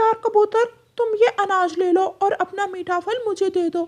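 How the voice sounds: This is a cartoonish character voice at an extremely high pitch. It moves at a moderate pace.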